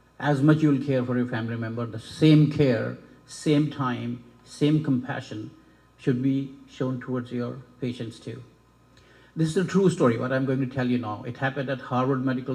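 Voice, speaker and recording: Somewhat breathy and dark, mellow in tone, a man's medium-pitched voice keeps a fairly even intonation. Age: 60s. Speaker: medical school dean / faculty. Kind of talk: ceremony speech.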